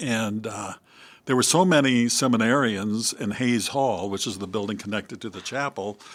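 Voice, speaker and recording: A man with a Midwestern American accent at a medium pitch and moderate pace, with ordinary pitch variation, in a very clean recording with a silent background. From US Midwest, Iowa (West Burlington). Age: 70s. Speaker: priest. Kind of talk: interview conversation. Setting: studio.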